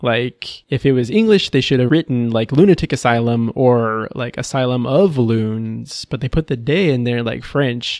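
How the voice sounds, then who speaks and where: An American man with an unremarkable speaking voice talks at a moderate pace and a medium pitch, with ordinary pitch variation and hardly any pauses. The sound is dry and close with no echo, over a quiet background. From Texas. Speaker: podcast host. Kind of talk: casual chat.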